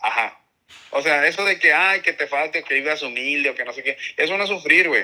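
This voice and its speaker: Lively in intonation, a man speaks at a fairly quick pace in a high-pitched voice with a bright, sharp tone. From Mexicali Valley, Baja California, Mexico. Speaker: podcast co-host. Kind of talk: casual chat.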